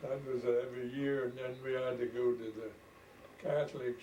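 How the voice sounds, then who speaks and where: Noticeable background noise is present throughout. A man does the talking. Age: 90s. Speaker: elderly farmer recalling the past. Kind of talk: oral history interview.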